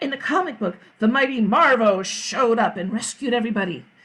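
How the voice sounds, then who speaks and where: A woman at a very fast pace with a fairly high pitch. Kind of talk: read-aloud children's story. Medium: read story. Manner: lively, expressive.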